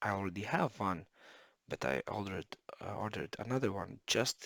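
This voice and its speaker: A man speaks in a bright, sharp tone. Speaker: electronics repair hobbyist. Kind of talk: casual tutorial. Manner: halting, many fillers.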